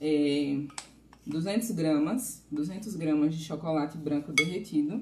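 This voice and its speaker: With noticeable background noise, a woman talks at a fairly slow pace in a fairly low pitch, using ordinary pitch variation. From Bahia, Brazil. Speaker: pastry chef giving a live class. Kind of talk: live cooking class streamed online. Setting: live stream.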